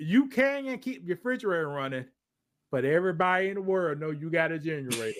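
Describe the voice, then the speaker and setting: Speaking very fast in a high pitch, a man sounds animated, his pitch swinging very widely. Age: 70s. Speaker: podcast host. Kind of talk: casual chat.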